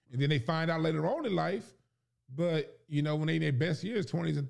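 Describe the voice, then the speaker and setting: Fairly high in pitch, a man speaks at a very fast pace. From South Central Los Angeles. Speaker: comedian. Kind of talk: casual chat.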